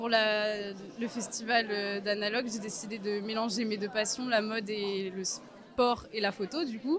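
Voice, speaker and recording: Over crowd noise in the background, a man with a high pitch talks at a very slow pace. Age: 20s. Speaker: fashion student and photographer. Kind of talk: interview testimony.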